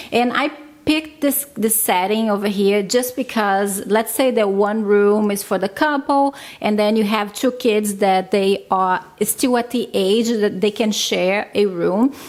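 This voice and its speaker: At a fairly slow pace, a woman speaks in a fairly high pitch with ordinary pitch variation and very even loudness. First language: not English. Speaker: vlogger, stay-at-home mom. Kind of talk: casual vlog talk.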